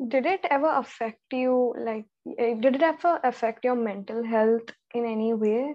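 Speaking at a moderate pace, a woman has a high voice with ordinary pitch variation. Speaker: podcast host. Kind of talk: interview. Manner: hesitant, many 'um's.

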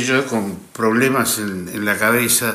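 A man speaks at a fairly slow pace. The room echo is audible. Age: 60s. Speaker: actor and radio broadcaster. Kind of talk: casual interview chat.

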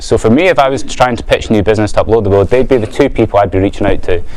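A man with an Edinburgh accent talks at a very fast pace over noticeable background noise. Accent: Scottish (Edinburgh). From Scotland, Edinburgh. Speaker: business owner, guest speaker. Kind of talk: talk to a student audience.

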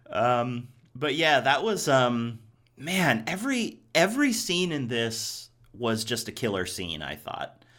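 Speaking very slowly in an American accent, a man with a medium-pitched, bright, sharp voice makes very wide pitch swings. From Ohio, US Midwest. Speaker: podcast host. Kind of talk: casual chat.

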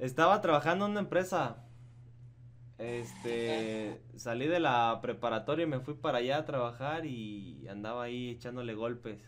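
A man's medium-pitched voice, an ordinary speaking voice with lively intonation. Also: moderate pace. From Michoacán, Mexico. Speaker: podcast host. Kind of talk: casual chat.

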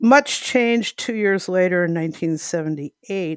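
Ordinary pitch movement in a woman's fairly low voice. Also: dry, close sound with no echo, very clean recording, silent background. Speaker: community member telling story. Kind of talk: personal story monologue.

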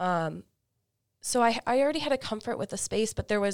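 A plain, everyday voice from a woman with an American accent, at a fairly quick pace with lively intonation, on a very clean recording with a silent background. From US South, Florida Panhandle. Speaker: doctoral student. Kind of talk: interview.

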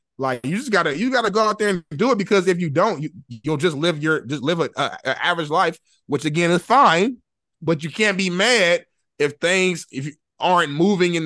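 A man talks in a normal speaking voice at a fairly quick pace with lively intonation. The sound is dry and close with no echo, over a quiet background. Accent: American. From Indianapolis, Indiana. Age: 20s. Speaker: sports show host. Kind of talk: casual interview.

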